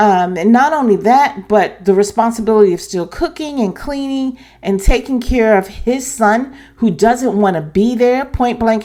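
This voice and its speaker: Speaking at a fairly slow pace, a woman uses a fairly high pitch with a dark, mellow tone and lively intonation. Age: 70s. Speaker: YouTube reality TV commentator. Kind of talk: opinion commentary vlog. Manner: hesitant with fillers and restarts.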